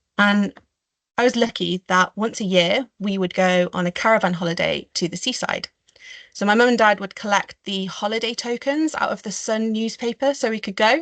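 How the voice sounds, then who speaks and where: A woman's medium-pitched voice at a moderate pace, with ordinary pitch variation. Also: quiet background. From Staffordshire, English Midlands. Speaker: marine biologist and conservationist; webinar panelist. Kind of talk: webinar talk. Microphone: video call.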